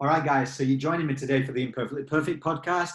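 In a room with audible echo and a quiet background, a man speaks somewhat breathily with fairly even intonation. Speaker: podcast host. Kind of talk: podcast interview, host introduction. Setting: remote video call. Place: home room. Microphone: webcam.

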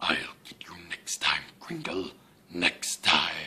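A growling put-on character voice, low in pitch, at a fairly slow pace. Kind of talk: behind-the-scenes outtake, playful villain line. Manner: menacing, villainous.

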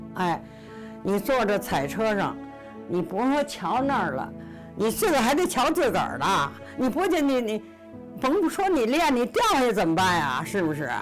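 With clear music in the background, the speaker talks at a moderate pace in a Beijing accent, using very wide pitch swings, very even loudness and long, frequent pauses. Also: woman, fairly high pitch for a woman. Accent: Beijing Mandarin. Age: 80s+. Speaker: former circus performer. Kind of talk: interview answer. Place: home room.

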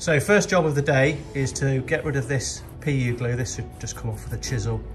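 Speech at a moderate pace with clear music in the background. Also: man. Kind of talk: tutorial. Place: workshop. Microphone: phone near.

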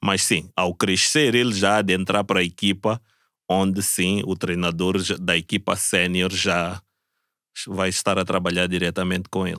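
A man with a very deep, low pitch and a bright, sharp tone speaks at a moderate pace in monotone, flat intonation and very even loudness. The sound is dry with no echo over a quiet background. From Mozambique. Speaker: Olympic swimmer; podcast guest. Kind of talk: casual chat. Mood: relaxed, laughing at times. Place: studio. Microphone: studio mic.

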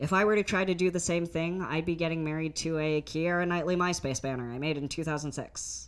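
A woman with a very deep, low pitch, an animated, playful tone, and a moderate pace. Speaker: stand-up comic. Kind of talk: stand-up comedy set. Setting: stage with audience. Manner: animated, playful, conversational. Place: stage. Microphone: handheld.

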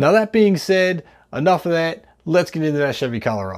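Moving at a fairly quick pace, a man speaks with very wide pitch swings. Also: quiet background. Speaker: car channel host. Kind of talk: casual vlog chat. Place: home room. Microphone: lapel.

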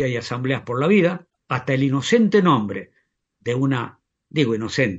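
A man talks at a fairly slow pace. His medium-pitched voice is somewhat breathy. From Argentina, La Rioja. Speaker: union leader and teacher. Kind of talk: interview.

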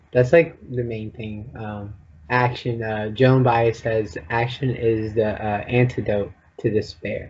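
At a very slow pace, a somewhat breathy man of medium pitch keeps fairly even intonation while his loudness swings widely. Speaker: podcast co-host. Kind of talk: interview.

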